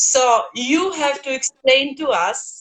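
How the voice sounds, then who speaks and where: A woman's high-pitched, raised and projected voice with a bright, sharp tone, a non-native accent and a very slow pace. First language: not English. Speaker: host of an online talk series. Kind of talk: interview.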